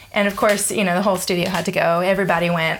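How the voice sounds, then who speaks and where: A woman with an American accent, medium in pitch with ordinary pitch variation, at a very fast pace over noticeable background noise. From US South (Georgia). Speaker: bass player and teacher. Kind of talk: casual interview. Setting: at host's place.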